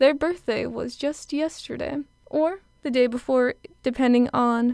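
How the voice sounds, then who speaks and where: A woman sounds upbeat at a high pitch. Her pitch variation is ordinary. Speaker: college radio DJ. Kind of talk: radio show host patter. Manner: upbeat, chatty.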